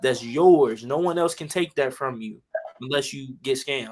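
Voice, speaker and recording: A man talks at a fairly quick pace with an American accent. His pitch sits in the medium range. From Chicago, US Midwest. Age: 20s. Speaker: union electrician and motivational speaker. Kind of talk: casual panel discussion. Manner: animated.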